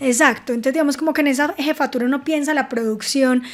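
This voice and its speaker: Speaking very fast in a Paisa accent, a woman uses a high pitch with ordinary pitch variation. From Antioquia, Colombia. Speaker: film producer and animation director. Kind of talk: podcast interview answer. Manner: cheerful, smiling.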